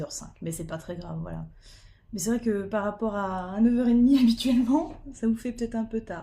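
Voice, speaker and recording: A woman's voice is somewhat breathy, with a dark, mellow tone. Her pitch varies in an ordinary way. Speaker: diamond painting streamer. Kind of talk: casual live stream chat.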